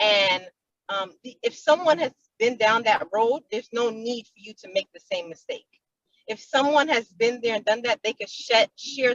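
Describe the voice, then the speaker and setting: Speaking at a moderate pace, a woman has an unremarkable speaking voice, fairly high in pitch with ordinary pitch variation and big swings in loudness. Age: young. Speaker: young business woman, entrepreneur. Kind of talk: panel discussion.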